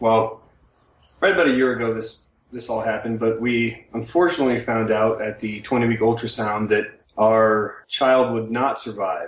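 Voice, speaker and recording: A man in an ordinary speaking voice, medium pitch, moderate pace, fairly even intonation. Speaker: military pilot and web cartoonist. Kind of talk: casual conversation. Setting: internet call.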